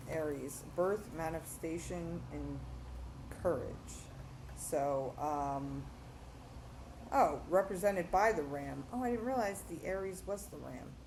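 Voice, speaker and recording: Amid audible room echo, a woman speaks with big swings in loudness and long, frequent pauses. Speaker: tarot reader. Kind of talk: tarot reading to camera. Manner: fast; hesitant, many fillers.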